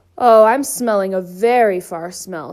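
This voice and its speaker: A woman at medium pitch puts on a character voice at a moderate pace. It comes out gruff and growling. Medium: read story. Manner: blustering.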